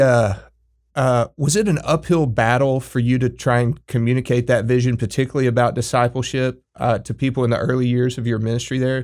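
On a very clean recording with a silent background, a man with an American accent talks at a fairly quick pace and medium pitch. His intonation is fairly even, and he has an unremarkable speaking voice. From Texas Panhandle. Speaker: podcast co-host. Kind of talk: interview.

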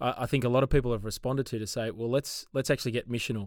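Medium-pitched male voice with an Australian accent, very fast pace and monotone, flat intonation, in a very clean recording with a silent background. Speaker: podcast host, church ministry. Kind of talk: casual chat.

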